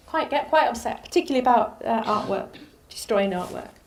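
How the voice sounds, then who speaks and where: Audible room echo surrounds a woman whose voice makes very wide pitch swings. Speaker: lecturer. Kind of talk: lecture.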